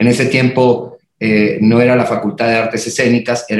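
A man speaks in an unremarkable speaking voice at a medium pitch, with fairly even intonation and a moderate pace. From northern Mexico, Reynosa, Tamaulipas. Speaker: choreographer and dance company director. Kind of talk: casual chat.

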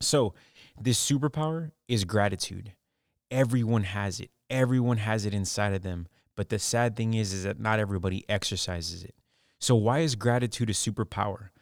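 An upbeat, fairly low-pitched male voice at a fairly quick pace, with ordinary pitch variation and a dry, close sound free of echo. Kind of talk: motivational pep talk. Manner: earnest, upbeat, direct, encouraging; conversational, emphatic, persuasive.

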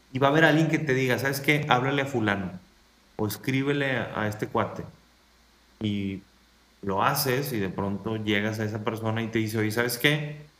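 In a room with audible echo, a man with a medium pitch and ordinary pitch variation speaks at a moderate pace, stopping often for long pauses. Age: 30s. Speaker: motivational speaker and coach. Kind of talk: interview conversation.

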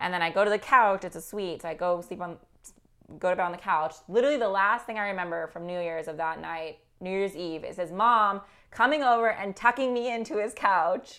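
On a very clean recording with a silent background, a woman with a Californian accent talks at a fairly quick pace in a medium pitch, with ordinary pitch variation and big swings in loudness. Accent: Californian American. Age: 20s. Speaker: marketing strategist. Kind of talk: casual chat.

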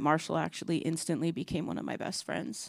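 With a plain, everyday voice, a woman speaks at a fairly quick pace and a fairly low pitch in a very clean recording with a silent background. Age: 50s. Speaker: preacher. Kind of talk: sermon.

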